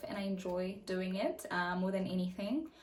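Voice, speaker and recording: A woman speaks in a South African accent, her pitch moving in an ordinary way. Her voice is somewhat breathy. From South Africa, the Vaal (Gauteng). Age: 20s. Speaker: YouTuber. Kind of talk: casual chat. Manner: hesitant, many fillers.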